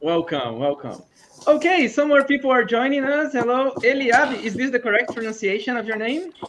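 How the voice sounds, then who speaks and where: The speaker has a Portuguese accent. The pace is moderate. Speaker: English conversation meetup host. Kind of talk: casual chat. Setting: video call.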